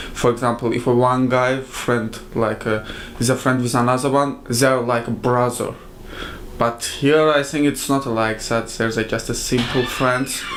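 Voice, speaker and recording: At a moderate pace, a man with a medium pitch speaks in a monotone, flat intonation at very even loudness, with noticeable background noise behind him. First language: not English. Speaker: international student. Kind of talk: interview.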